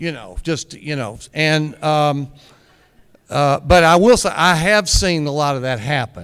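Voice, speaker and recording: A fairly high-pitched man with lively intonation at a fairly slow pace. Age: 60s. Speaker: recovering addict speaking on a recovery panel. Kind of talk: personal sharing at a recovery meeting. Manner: halting, many fillers and repeated words.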